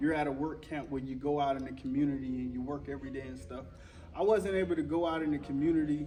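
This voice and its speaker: A man's fairly high voice at a very fast pace, ordinary pitch variation, and audible room echo. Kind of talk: testimony. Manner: casual, conversational with many fillers.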